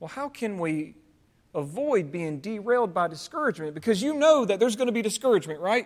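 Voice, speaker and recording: With a Southern US accent, a man talks at a very fast pace in an extremely high pitch. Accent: Southern American. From US South. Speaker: pastor. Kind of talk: sermon. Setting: church.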